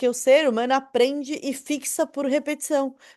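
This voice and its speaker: A woman talks at a fairly slow pace. Nothing much stirs in the quiet background. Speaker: online marketing teacher. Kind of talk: online lecture. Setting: recorded video class. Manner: animated.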